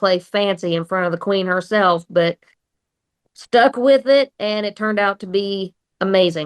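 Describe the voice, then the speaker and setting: With an Oklahoma accent, a woman speaks with ordinary pitch variation. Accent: Oklahoma twang. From southeast Oklahoma, Atoka. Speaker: country singer. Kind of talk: radio interview.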